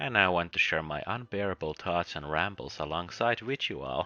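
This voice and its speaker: With a Finnish accent and a very deep, low pitch, a man talks at a moderate pace with ordinary pitch variation while music plays in the background. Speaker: book reviewer. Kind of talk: video review monologue.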